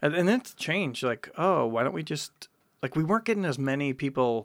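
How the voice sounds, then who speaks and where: A plain, everyday voice from a man with an American accent, fairly high pitch, lively intonation and moderate pace, in a dry, close sound with no echo. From Wisconsin. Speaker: artist and curator. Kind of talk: casual interview.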